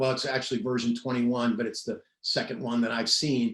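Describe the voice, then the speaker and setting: A man at medium pitch, talking at a fairly quick pace. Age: 60s. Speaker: investigative reporter. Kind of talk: interview. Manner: halting.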